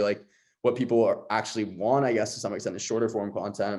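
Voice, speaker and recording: Over a quiet background, a man with an American accent speaks very fast at medium pitch in a dark, mellow tone with monotone, flat intonation. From Los Angeles, West LA. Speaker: content creator and host. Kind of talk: podcast interview.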